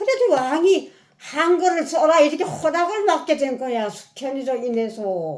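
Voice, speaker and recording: Her voice is high-pitched for a woman and moves at a fairly slow pace. The woman's pitch swings very widely. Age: 80s+. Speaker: elderly mother reviewing a book. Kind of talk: casual chat.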